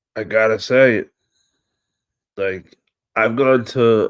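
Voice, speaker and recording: A man with a New York accent, at a very slow pace. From New York City (Staten Island). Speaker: wrestling livestream host. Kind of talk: casual live stream chat. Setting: live stream. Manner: animated.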